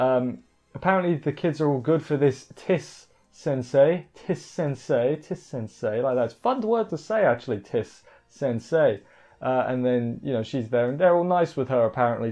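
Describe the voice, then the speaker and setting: Lively intonation and a dark, mellow tone from a man at a moderate pace, over a quiet background. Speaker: anime reviewer. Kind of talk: commentary. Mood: casual, joking.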